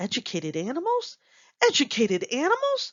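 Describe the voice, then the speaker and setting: A female-sounding voice performs a put-on character voice at a high pitch. The pace is fairly quick. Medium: read story. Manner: growling.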